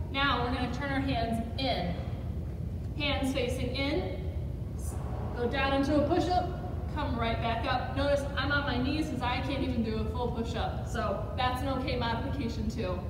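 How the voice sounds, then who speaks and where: A woman speaks at a moderate pace amid noticeable background noise and audible room echo. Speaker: physical therapy instructor. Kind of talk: tutorial. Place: gym. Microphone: camera far.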